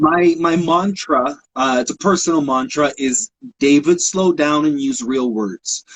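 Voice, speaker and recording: A plain, everyday voice: a man with lively intonation at a fairly slow pace. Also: fairly high pitch for a man. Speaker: photographer and author. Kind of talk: casual interview chat.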